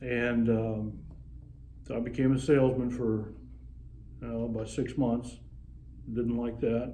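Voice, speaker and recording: With a dark, mellow tone and a medium pitch, a man talks at a fairly slow pace in a monotone, flat intonation, leaving long, frequent pauses amid audible room echo. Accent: American. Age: 60s. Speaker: retired sheriff's officer and Vietnam veteran. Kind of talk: interview. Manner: halting, frequent fillers. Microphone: phone camera recording.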